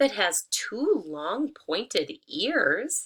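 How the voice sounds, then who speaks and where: Her voice is a put-on character act. She pitches it high. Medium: read story.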